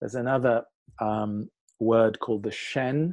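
The recording has a quiet background and a dry, close sound with no echo. A man with an unremarkable speaking voice talks at a medium pitch and a moderate pace, using fairly even intonation. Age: 60s. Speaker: qigong teacher. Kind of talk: guided meditation; interview conversation.

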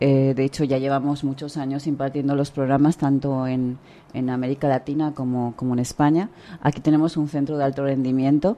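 A woman's voice has a very deep, low pitch and a dark, mellow tone, delivered in a flat monotone. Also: fairly quick pace. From Spain. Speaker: author and leadership consultant. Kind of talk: radio interview.

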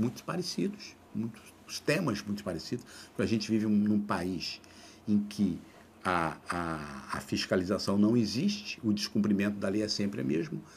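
A man speaks at a moderate pace in a fairly low voice, with ordinary pitch variation. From Brazil, Mato Grosso do Sul (Três Lagoas, near São Paulo border). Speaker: labour court judge and author. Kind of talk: interview conversation. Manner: halting, many repetitions.

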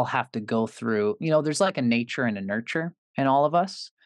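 Speaking at a fairly quick pace with lively intonation, a man with an ordinary speaking voice talks in a Canadian accent against a quiet background. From Canada. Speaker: astrologer. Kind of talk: interview explanation.

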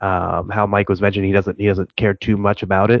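A man speaks with a slight Midwestern accent. His pitch is fairly low. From Cleveland area, Ohio. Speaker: fantasy football podcaster. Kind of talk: casual chat.

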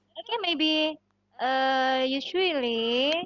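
In an Indonesian accent, a woman speaks with a high pitch. The sound is dry and close, with no echo. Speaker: host of teacher chat room. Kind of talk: online teacher discussion. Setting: video call.

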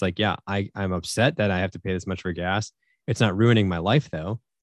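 A man with an American accent talks at a fairly quick pace. His pitch variation is ordinary. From US Northeast (Syracuse, New York). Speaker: military veteran and finance coach. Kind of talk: casual interview. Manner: halting, many fillers.

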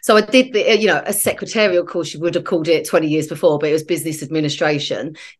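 Talking very fast with hardly any pauses, a woman uses a fairly low pitch and ordinary pitch variation. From South East London (Penge, Bromley). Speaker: digital agency founder and charity co-founder. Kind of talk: candid interview storytelling.

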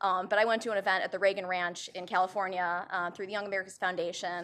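Heard in a very clean recording against a silent background, an ordinary speaking voice moves at a fairly quick pace. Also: woman. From Chicago, US Midwest. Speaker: debate moderator, policy commentator. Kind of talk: moderating a live debate. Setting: auditorium with audience. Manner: casual, joking.

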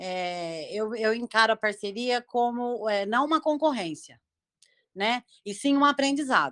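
A woman talks at a fairly slow pace with lively intonation and a fairly high pitch. The recording is very clean with a silent background and a dry, close sound with no echo. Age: 50s. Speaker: criminal lawyer, live participant. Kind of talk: casual discussion. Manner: halting.

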